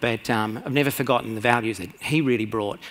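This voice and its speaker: A man's medium-pitched voice at a fairly quick pace, with an Australian accent. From rural Australia. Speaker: conference speaker, radiologist and CEO. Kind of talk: conference talk. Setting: stage with audience. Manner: fast; hesitant, many fillers.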